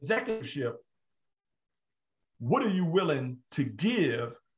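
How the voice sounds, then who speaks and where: Here a man speaks in an animated tone. His pitch swings very widely. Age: 60s. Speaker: motivational speaker. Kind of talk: live-stream interview. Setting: live video stream.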